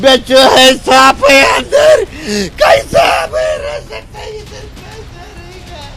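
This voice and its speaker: Shouting at an extremely high pitch, a man makes big swings in loudness and very wide pitch swings over noticeable background noise. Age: 60s. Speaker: flood-affected villager. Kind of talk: interview.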